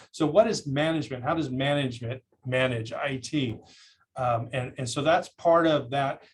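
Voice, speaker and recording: A somewhat breathy man at medium pitch, moderate pace and ordinary pitch variation. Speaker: cybersecurity presenter. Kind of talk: lecture. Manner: halting, many fillers.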